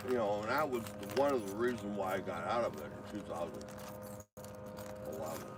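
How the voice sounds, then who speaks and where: Over noticeable background noise and audible room echo, a man with a fairly low pitch and ordinary pitch variation talks at a fairly quick pace, broken by long, frequent pauses. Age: 60s. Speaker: retired truck driver. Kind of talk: casual chat.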